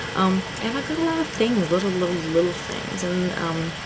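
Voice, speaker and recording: A woman speaks quietly and fairly quickly, her pitch fairly low with ordinary variation. The room echo is audible, and there is noticeable background noise. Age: 30s. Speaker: self-published author and vlogger. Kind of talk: video diary. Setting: at home, late at night. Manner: speaking quietly; hesitant, many ums. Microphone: may be too quiet.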